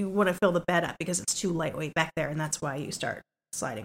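A woman's fairly low voice with ordinary pitch variation, a normal speaking voice, in a dry, close sound with no echo. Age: 40s. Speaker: podcast co-host. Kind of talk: casual chat.

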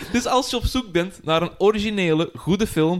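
A man speaks with a high voice and lively intonation. His pace is moderate. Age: 30s. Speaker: podcast host. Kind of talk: casual chat.

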